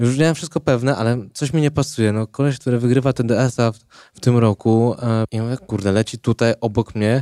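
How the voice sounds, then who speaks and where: On a very clean recording with a silent background and a dry, close sound with no echo, a man speaks at a medium pitch with fairly even intonation. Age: 20s. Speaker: ultrarunner. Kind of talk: casual chat. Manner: halting.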